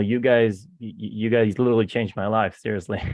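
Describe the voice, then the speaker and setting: A man speaks in an Israeli accent. His pace is fairly quick. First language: Hebrew. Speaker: real estate investor. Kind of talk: casual chat. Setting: video call. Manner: halting, many repeated words.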